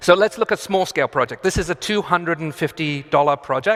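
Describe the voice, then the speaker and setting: A man's voice with ordinary pitch variation in a dry, close sound with no echo. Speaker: architect giving a conference talk. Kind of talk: conference talk. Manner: fast; halting, with fillers and restarts.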